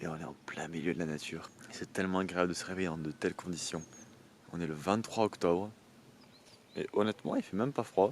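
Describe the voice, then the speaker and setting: A soft-spoken man talks in a very deep, low pitch with ordinary pitch variation. His pace is fairly quick, broken by long, frequent pauses. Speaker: travel vlogger. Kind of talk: casual vlog talk. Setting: outdoors in a field by a camper van.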